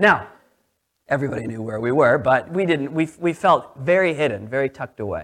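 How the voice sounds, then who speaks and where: This man has an ordinary speaking voice, pitched fairly high. He talks at a fairly quick pace with lively intonation. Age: 30s. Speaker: pastor. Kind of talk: sermon. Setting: church.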